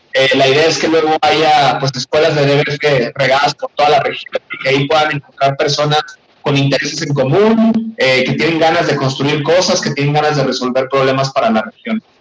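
Amid noticeable background noise, a man with a fairly high pitch and ordinary pitch variation speaks at a fairly quick pace and very even loudness. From northwest Mexico (Hermosillo, Sonora). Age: 30s. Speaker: tech education entrepreneur. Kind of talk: radio interview.

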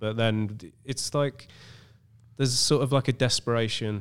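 A man speaks with an English accent at a moderate pace. His pitch varies in an ordinary way. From England. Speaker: film director. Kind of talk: casual chat. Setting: studio.

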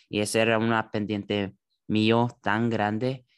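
The pace is very slow. The background is quiet. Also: man. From California, San José. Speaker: church youth Bible discussion host. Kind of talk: Bible study conversation. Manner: halting, with many fillers.

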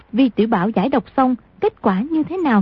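A somewhat breathy woman at a moderate pace, with very wide pitch swings. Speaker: radio announcer. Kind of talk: radio announcement, recap intro and outro. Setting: radio broadcast.

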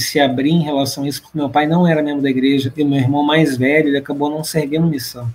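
Music in the background behind a man's fairly high, flat, monotone voice at a fairly quick pace. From Brazil, Rio de Janeiro. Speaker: church leader and returned missionary. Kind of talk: podcast interview.

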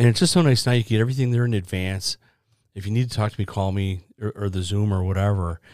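A man with a fairly low pitch and ordinary pitch variation at a very fast pace, on a very clean recording with a silent background. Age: 60s. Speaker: podcast host. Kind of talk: casual interview.

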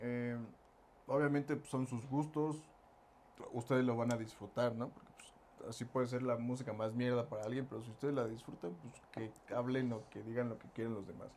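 A man with a Mexican accent talks at a fairly quick pace in a medium pitch with fairly even intonation. He takes long, frequent pauses, and his loudness swings widely. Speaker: podcast co-host and band musician. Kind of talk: casual chat.

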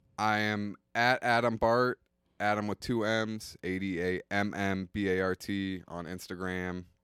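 On a very clean recording with a silent background, a man talks fairly slowly at a fairly low pitch with fairly even intonation. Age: 20s. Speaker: stand-up comedian. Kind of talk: casual chat.

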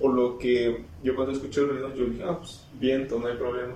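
With audible room echo and noticeable background noise, a man speaks at a medium pitch and a fairly quick pace in a monotone, flat intonation. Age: 20s. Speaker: podcast co-host. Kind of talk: casual chat.

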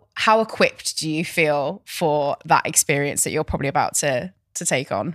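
A woman's fairly low-pitched, unremarkable speaking voice at a moderate pace, in a very clean recording with a silent background. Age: 20s. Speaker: podcast host. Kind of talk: casual chat.

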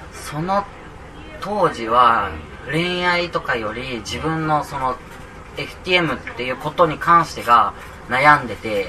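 A man speaks at a very slow pace with a fairly high pitch and lively intonation, leaving long, frequent pauses. His loudness swings widely, and noticeable background noise is present. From Kagoshima, Japan. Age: 20s. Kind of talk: live interview. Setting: public recording in a cafe with audience. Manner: halting.

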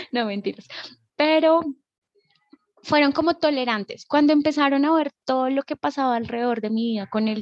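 A woman at a fairly quick pace with ordinary pitch variation, in a dry, close sound with no echo. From Colombia, Bogotá. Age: 20s. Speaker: nudist community organizer, actress and dancer. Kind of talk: casual interview.

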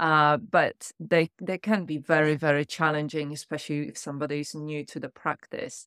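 In a very clean recording with a silent background and a dry, close sound with no echo, a woman speaks at a moderate pace with hardly any pauses. Her very deep, low pitch has fairly even intonation and big swings in loudness. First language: not English. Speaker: podcast host. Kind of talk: interview conversation.

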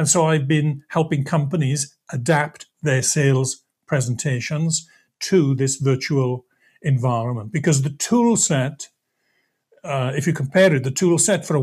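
On a very clean recording with a silent background, a man with a Welsh accent speaks at a moderate pace in a somewhat breathy, fairly high voice with ordinary pitch variation. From Wales, Swansea. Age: 50s. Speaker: sales presentation trainer. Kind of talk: podcast interview.

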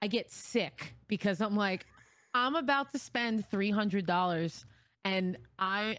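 A woman with an unremarkable speaking voice, medium in pitch, fairly slow, with lively intonation, in a very clean recording with a silent background. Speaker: streamer and content creator. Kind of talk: casual interview chat.

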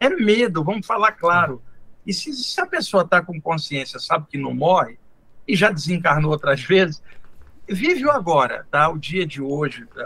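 A man's high-pitched voice, bright and sharp in tone, at a moderate pace. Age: 60s. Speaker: spiritual teacher. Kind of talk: casual interview.

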